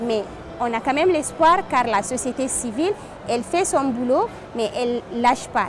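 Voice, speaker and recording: A woman speaks in a high pitch with a dry sound that has no echo. Noticeable background noise is present. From Chad. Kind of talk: interview statement. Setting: climate conference. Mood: earnest, determined. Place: hall.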